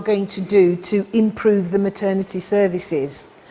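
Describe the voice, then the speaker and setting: Speaking at a fairly slow pace, a woman with a British accent uses a medium pitch and fairly even intonation. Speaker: midwifery lecturer. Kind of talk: lecture.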